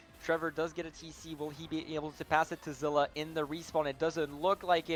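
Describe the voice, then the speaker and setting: A man talks at a moderate pace. There is music behind him. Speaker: esports caster. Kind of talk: live commentary.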